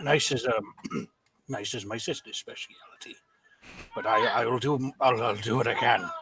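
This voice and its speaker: A man's put-on character voice, raspy and medium in pitch, at a moderate pace. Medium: actual play. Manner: emotional, earnest.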